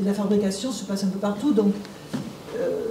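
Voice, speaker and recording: Over noticeable background noise and audible room echo, a woman speaks at a fairly quick pace with a medium pitch. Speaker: audience member. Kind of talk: audience question. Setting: lecture hall with audience.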